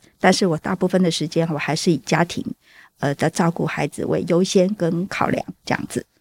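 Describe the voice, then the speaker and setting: A plain, everyday voice at a fairly quick pace with fairly even intonation, dry and close with no echo, on a very clean recording with a silent background. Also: woman, fairly low pitch for a woman. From southern Taiwan. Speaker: stay-at-home mother and school volunteer. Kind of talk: interview testimony.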